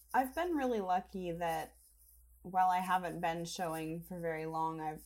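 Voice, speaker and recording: Using a plain, everyday voice, a woman speaks at a fairly low pitch and a moderate pace. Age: 20s. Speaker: assistant editor of a horse magazine. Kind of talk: interview. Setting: podcast recording.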